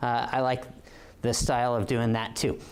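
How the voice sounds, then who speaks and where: A man with an American accent talks at a fairly quick pace, with audible room echo. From Oregon. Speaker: police officer. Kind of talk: lecture. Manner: halting, many fillers.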